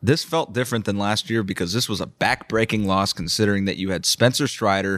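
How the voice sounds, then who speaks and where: A man with a plain, everyday voice speaks at a moderate pace and fairly low pitch on a very clean recording with a silent background. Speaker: sports beat reporter. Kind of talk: casual sports analysis.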